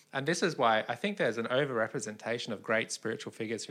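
Talking at a very fast pace, a man has an Australian accent and medium pitch. The recording is very clean with a silent background. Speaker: podcast co-host. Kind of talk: casual conversation.

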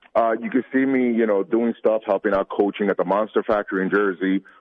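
In a plain, everyday voice, a man with an American accent talks at a fairly quick pace with fairly even intonation. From New York City. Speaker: professional wrestler. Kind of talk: interview.

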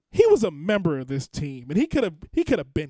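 A man speaks in an animated tone with very wide pitch swings at a moderate pace. The sound is dry and close, with no echo. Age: 30s. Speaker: podcast host. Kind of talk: casual chat. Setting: home basement studio.

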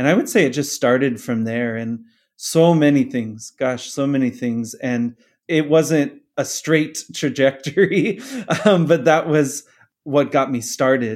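An unremarkable speaking voice with an American accent moves at a fairly slow pace with ordinary pitch variation, on a very clean recording with a silent background. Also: man, fairly high pitch for a man. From US Southwest, Phoenix, Arizona. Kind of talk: interview testimony.

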